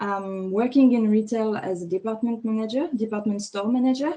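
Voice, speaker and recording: This woman has a fairly high pitch and a dark, mellow tone. Her pitch varies in an ordinary way. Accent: French. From France. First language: French. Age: 30s. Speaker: fashion stylist. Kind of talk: interview.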